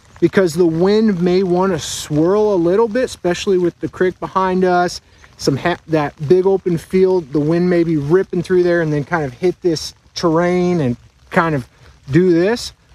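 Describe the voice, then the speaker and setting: A man speaks at a moderate pace in a high pitch with ordinary pitch variation. The sound is dry with no echo. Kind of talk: outdoor instructional explanation. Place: forest. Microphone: phone near.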